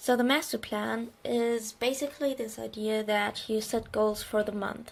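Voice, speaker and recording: A woman speaks in a German accent at a moderate pace. Her pitch is fairly high, with fairly even intonation. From Germany. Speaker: bullet journal creator. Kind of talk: casual craft tutorial narration.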